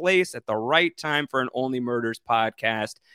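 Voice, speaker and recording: On a very clean recording with a silent background, a man with an American accent and an unremarkable speaking voice talks at a fairly quick pace, his medium pitch showing ordinary variation. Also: dry, close sound with no echo. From New York. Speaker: podcast host. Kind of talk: casual chat.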